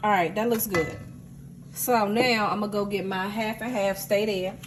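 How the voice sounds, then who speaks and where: Amid noticeable background noise and audible room echo, a woman speaks at a medium pitch with fairly even intonation. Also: moderate pace. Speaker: home cook. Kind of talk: cooking tutorial. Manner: loud.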